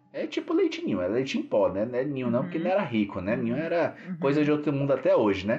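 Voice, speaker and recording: A man rattles off his words at a very fast pace while noticeable background noise is heard. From São Paulo, Brazil (Grajaú). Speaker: podcast host. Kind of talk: casual chat. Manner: animated.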